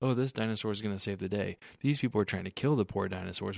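On a very clean recording with a silent background, a man with an unremarkable speaking voice and a fairly low pitch shows ordinary pitch variation. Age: 30s. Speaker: movie podcast co-host. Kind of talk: casual chat.

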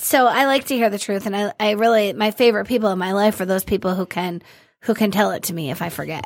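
The speech goes at a very fast pace. Pitch varies in an ordinary way. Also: woman, medium pitch for a woman. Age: 40s. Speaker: person in recovery, student. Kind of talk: casual chat. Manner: casual, filler-heavy.

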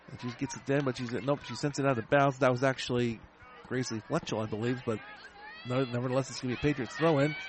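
A man's medium-pitched voice at a very fast pace over noticeable background noise. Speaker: radio sports broadcaster. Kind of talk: live sports commentary. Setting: stadium, radio broadcast. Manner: fast, rapid-fire play-by-play; clipped, energetic.

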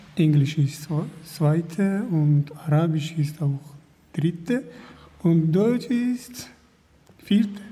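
A man with a Kurdish accent and high pitch, lively intonation, a very slow pace and long, frequent pauses, amid noticeable background noise. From Kurdish region. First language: Kurdish (speaking German). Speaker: refugee, language student. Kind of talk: interview. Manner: halting.

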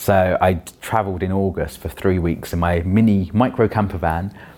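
A man with a London accent, a fairly low pitch, fairly even intonation and a moderate pace. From London (Roehampton, Wandsworth). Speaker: children's author and performance poet. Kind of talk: interview.

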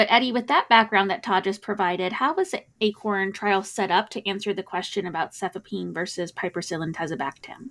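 In a normal speaking voice, a woman talks at a fairly quick pace and medium pitch with ordinary pitch variation, on a very clean recording with a silent background. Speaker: podcast host, critical care physician. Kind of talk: casual expert discussion of a clinical trial.

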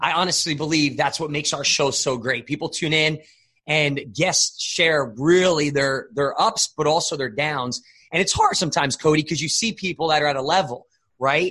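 A man talks at a moderate pace in a fairly high pitch with ordinary variation. His tone is animated, bright and sharp. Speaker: life coach and podcast host. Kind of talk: motivational podcast interview. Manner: high-energy, animated.

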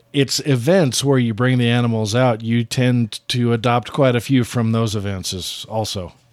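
A plain, everyday voice belongs to a man with an American accent and a medium pitch. He keeps a moderate pace with ordinary pitch variation. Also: hardly any pauses. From western Colorado. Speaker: radio host. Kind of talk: radio interview.

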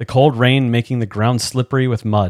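A man talks at a moderate pace and medium pitch in a normal speaking voice. The sound is dry and close, with no echo. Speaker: podcast host and doctoral candidate. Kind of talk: dramatic narration reading aloud from a game book.

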